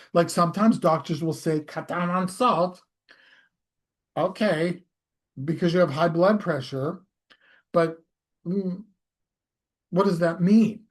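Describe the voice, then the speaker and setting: Pausing long and often, a man speaks slowly in a high pitch with fairly even intonation. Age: 60s. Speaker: hypnosis practitioner and health commentator. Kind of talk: casual monologue. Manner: conversational, with fillers and self-corrections.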